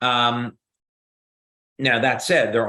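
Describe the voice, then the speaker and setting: A man with a New Jersey accent speaks at a fairly slow pace. His medium-pitched voice has a bright, sharp tone. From US Northeast, New Jersey. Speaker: company founder and scientist answering questions. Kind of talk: Q&A explanation. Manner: many filler words and hesitations.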